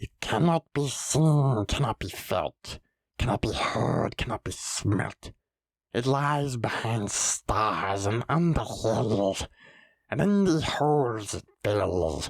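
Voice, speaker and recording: A man's put-on character voice, whispering and hissing at a very slow pace. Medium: read story. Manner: sly, wheedling, talks to himself.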